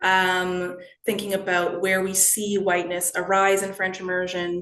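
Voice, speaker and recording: Noticeable background noise sits behind this recording. A woman with a Canadian accent speaks in a fairly low pitch. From Canada, Toronto. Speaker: education researcher. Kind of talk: lecture. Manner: hesitant, many fillers.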